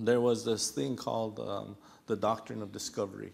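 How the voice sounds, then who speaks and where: With an American accent, a man talks at a moderate pace, his voice showing vocal fry and ordinary pitch variation. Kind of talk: panel discussion. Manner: halting, many fillers and repetitions.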